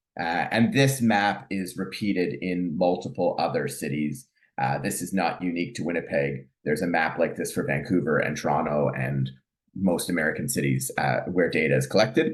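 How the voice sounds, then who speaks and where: With a Canadian accent, a man speaks in a very deep, low pitch with vocal fry and lively intonation. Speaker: family physician and professor. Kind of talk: lecture. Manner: fast; hesitant, many fillers.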